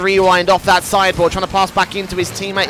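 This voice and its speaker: Over noticeable background noise, a man with a high voice speaks at a very fast pace. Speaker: esports commentator. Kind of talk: live commentary. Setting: studio.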